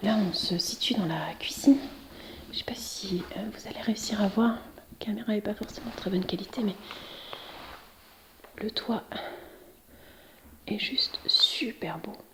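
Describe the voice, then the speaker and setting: Over noticeable background noise, a woman talks at a fairly slow pace with long, frequent pauses. Her voice is fairly high, with ordinary pitch variation and big swings in loudness. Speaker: urban exploration youtuber. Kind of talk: guided tour vlog. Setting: inside an abandoned manor. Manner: soft-spoken.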